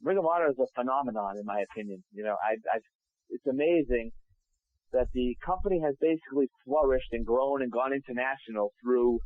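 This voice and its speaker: A man with a normal speaking voice, medium pitch and a fairly quick pace. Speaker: wrestling ring announcer. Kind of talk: interview answer.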